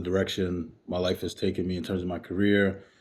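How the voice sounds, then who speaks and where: On a very clean recording with a silent background, a man with a New York accent speaks at a moderate pace. His voice is very deep and low, with a dark, mellow tone. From Brooklyn, New York. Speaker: author and academic director. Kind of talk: podcast interview. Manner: hesitant, many fillers.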